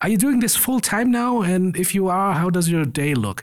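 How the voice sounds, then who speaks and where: A man with a German accent speaks at a moderate pace with lively intonation. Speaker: podcast host. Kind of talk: casual interview.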